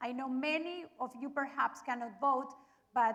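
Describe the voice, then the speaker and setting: A woman with a Spanish accent speaks at a moderate pace in a high, bright, sharp voice. Her voice is raised and projected. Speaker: TV moderator. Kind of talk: forum moderation.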